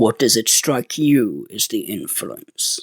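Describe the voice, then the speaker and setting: Using a growling put-on character voice, a man speaks at a fairly slow pace. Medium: read story. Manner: respectful, measured, earnest.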